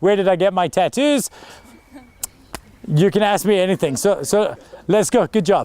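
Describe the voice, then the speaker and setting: Energetic in tone, a man speaks at a very fast pace and a high pitch with ordinary pitch variation. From Glasgow, Scotland, then South Africa from age nine. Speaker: public speaking coach and entrepreneur. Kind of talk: talk to school audience.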